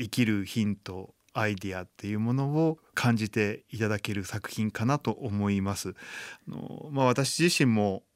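A man speaks in a normal speaking voice at a fairly low pitch and fairly slow pace, with ordinary pitch variation. The sound is dry and close with no echo, on a very clean recording with a silent background. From Japan, Chiba. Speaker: blind violinist and composer. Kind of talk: radio interview. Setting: studio.

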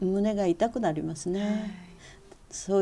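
A woman's dark, mellow voice at medium pitch, with fairly even intonation. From Tokyo, Japan. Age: 80s+. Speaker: blind calligrapher. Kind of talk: interview. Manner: halting with fillers.

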